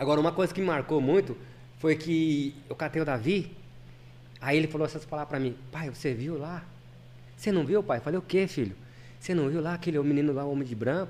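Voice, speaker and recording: Speaking at a fairly quick pace with long, frequent pauses, a man uses a fairly high voice and ordinary pitch variation. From São Paulo city, east zone (Vila Formosa). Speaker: retail warehouse manager. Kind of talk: casual chat.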